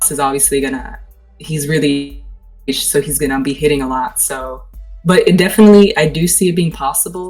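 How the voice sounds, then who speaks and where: Over music in the background, a woman with a very deep, low voice talks at a fairly quick pace with ordinary pitch variation. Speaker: podcast host. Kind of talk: casual podcast talk.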